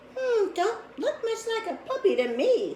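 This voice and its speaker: A woman's squeaky, put-on character voice at an extremely high pitch and moderate pace, with clear background noise. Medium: read story. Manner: drawling, dubious.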